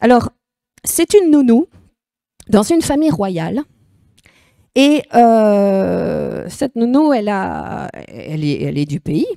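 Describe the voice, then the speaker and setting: Very slowly and with long, frequent pauses, a woman talks with a Belgian accent in a dry, close sound with no echo. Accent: Belgian regional accent, self-noted. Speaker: preacher. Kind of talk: sermon. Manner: animated, emphatic.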